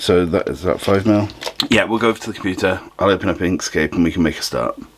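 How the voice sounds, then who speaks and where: A man at a fairly quick pace, ordinary pitch variation, and noticeable background noise. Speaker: DIY maker and YouTuber. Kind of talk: tutorial. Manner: casual, thinking aloud.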